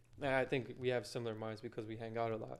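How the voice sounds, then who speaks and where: A man's medium-pitched voice in monotone, flat intonation at a fairly quick pace. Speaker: podcast co-host, interviewer. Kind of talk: casual interview chat. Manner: quiet.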